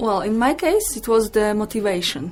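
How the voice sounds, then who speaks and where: A woman is speaking. She has a Polish accent. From Poland. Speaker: English teacher. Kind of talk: interview.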